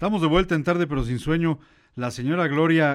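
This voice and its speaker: A man speaks with a Mexican accent on a very clean recording with a silent background. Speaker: radio host. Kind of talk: casual chat.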